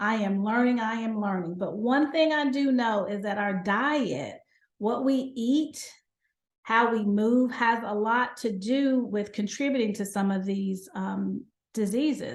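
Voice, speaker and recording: A woman's somewhat breathy, fairly high voice at a fairly slow pace, with ordinary pitch variation, against a quiet background. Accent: Southern US. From North Carolina, USA. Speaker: gynecologist and lifestyle medicine physician. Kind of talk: podcast interview answer.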